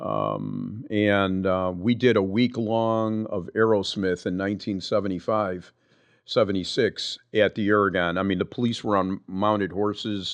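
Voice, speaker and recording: Pitch is fairly low for this man. He talks at a fairly slow pace in a monotone, flat intonation. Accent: Chicago. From Chicago (Lakeview), born in Cuba. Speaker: retired firefighter. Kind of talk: casual interview storytelling.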